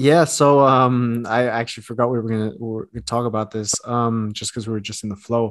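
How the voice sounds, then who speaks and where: Over a quiet background, a man with a plain, everyday voice speaks at medium pitch and a fairly quick pace with fairly even intonation. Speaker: sneaker writer and podcast host. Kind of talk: casual chat.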